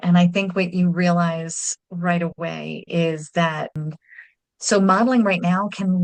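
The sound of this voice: At a fairly slow pace, a woman speaks with a fairly low pitch and fairly even intonation.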